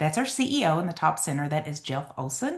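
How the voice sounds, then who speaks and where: Over a quiet background, a somewhat breathy woman with an Eastern Kentucky accent speaks at a moderate pace, her pitch swinging very widely. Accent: Eastern Kentucky Appalachian. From Eastern Kentucky mountains. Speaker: network marketing seller. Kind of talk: sales presentation. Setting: video call with screen share.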